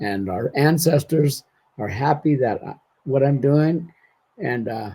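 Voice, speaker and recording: A somewhat breathy man's voice with an American accent, fairly high in pitch, with a dark, mellow tone. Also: ordinary pitch variation, fairly slow pace. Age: 60s. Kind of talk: casual interview conversation.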